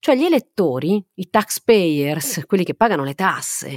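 Her pitch fairly low and swinging very widely, a woman talks at a moderate pace in a very clean, dry, close recording with no echo and a silent background. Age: 40s. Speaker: podcast host and science journalist. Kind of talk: scripted narration.

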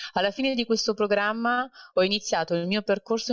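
A woman with a plain, everyday voice talks at a fairly quick pace with ordinary pitch variation, in a dry, close sound with no echo over a quiet background. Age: 30s. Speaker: corporate banker. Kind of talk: interview.

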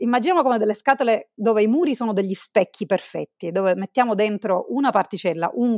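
Recorded very cleanly against a silent background, with a dry, close sound and no echo, a woman speaks with lively intonation. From Sicily, Italy. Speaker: physicist, research group leader. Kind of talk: interview.

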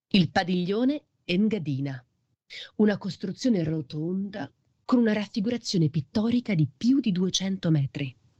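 Somewhat breathy and dark, mellow in tone, a woman speaks at a fairly slow pace with very wide pitch swings. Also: medium pitch for a woman, dry, close sound with no echo. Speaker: podcast narrator. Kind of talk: scripted narration.

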